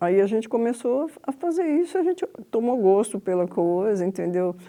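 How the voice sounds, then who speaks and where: A woman's fairly high, dark and mellow voice at a moderate pace, with very wide pitch swings. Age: 70s. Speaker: radio collector. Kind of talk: interview.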